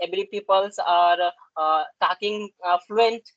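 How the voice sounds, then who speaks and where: A woman with an Indian accent, fairly slow and fairly even in intonation, in a dry, close sound with no echo. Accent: Indian English, Hindi speaker. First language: Hindi. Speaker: English learner. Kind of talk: conversation practice discussion. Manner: halting, many fillers.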